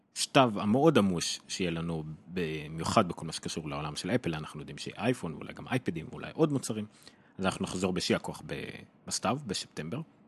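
Over noticeable background noise, a man with a very deep, low pitch talks very fast with lively intonation. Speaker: tech podcast host. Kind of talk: casual interview chat.

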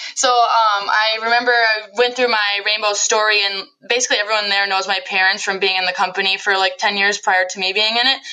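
At a fairly quick pace, a woman with an American accent talks at a medium pitch in a monotone, flat intonation over noticeable background noise. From central Wisconsin. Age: 20s. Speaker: direct sales business owner. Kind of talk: interview.

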